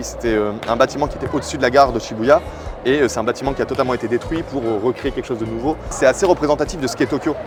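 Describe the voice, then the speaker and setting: Noticeable background noise runs behind a man's voice. He talks very fast with ordinary pitch variation. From France. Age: 30s. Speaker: YouTuber and TV media personality. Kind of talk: casual guided tour interview. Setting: outdoors. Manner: hesitant with frequent fillers.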